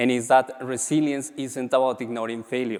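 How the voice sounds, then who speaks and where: With a strong Latin American accent, a man speaks at a moderate pace. His pitch is medium, with fairly even intonation. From Colombia. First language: Spanish. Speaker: MBA graduate and business leader. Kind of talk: conference speech.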